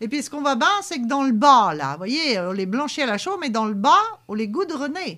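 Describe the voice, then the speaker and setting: A woman's raised, projected, high-pitched voice in a Poitou accent, bright and sharp in tone, with very wide pitch swings at a moderate pace. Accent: Poitevin regional patois. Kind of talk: local TV heritage talk show. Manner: casual, conversational, with frequent fillers.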